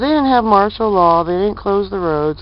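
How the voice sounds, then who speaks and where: Heard in a dry sound with no echo over light background noise, a woman speaks with ordinary pitch variation. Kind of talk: casual vlog chat. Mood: opinionated, matter-of-fact. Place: street. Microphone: phone near.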